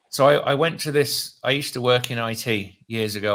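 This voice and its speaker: Recorded very cleanly against a silent background, a man with a British accent speaks in a bright, sharp tone with ordinary pitch variation. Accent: British, often taken for Australian. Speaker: real estate investor. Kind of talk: casual chat. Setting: live stream.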